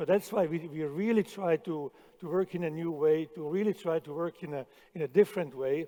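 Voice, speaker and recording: The sound is dry and close with no echo. A man talks at a fairly quick pace in a high pitch with a dark, mellow tone. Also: ordinary pitch variation, big swings in loudness. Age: 60s. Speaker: chef. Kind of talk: conference talk. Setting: stage with audience. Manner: halting, repeats words.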